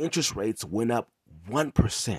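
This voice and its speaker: Somewhat breathy, a man with an American accent makes very wide pitch swings, heard against a quiet background in a dry, close sound with no echo. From Inglewood, California. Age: 30s. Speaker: podcast host, reseller entrepreneur. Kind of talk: casual monologue, personal story. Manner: halting, many fillers and restarts.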